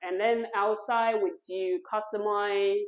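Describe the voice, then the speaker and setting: Very slowly, a woman with a Taiwanese accent speaks in a fairly high pitch. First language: Mandarin Chinese. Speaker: printmaker and studio owner. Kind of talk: artist talk. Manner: halting, non-native phrasing.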